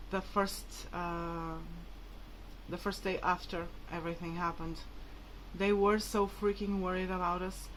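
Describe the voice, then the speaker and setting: A woman with a Portuguese accent at a moderate pace, with long, frequent pauses and audible room echo. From Portugal, Braga. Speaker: vlogger. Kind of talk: personal vlog appeal. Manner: casual, filler-heavy.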